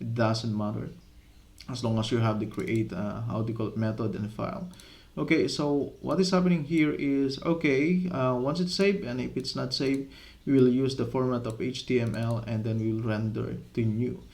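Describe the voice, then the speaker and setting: A man's medium-pitched voice with a non-native accent, lively intonation and a moderate pace, amid audible room echo. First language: not English. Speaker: software development tutor. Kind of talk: coding tutorial. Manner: halting, with many fillers.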